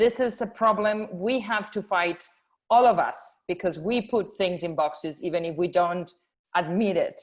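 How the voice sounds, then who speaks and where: Speaking with a Spanish accent, a woman talks at a moderate pace in a medium pitch with ordinary pitch variation. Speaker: film festival programmer. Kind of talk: panel discussion. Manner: halting.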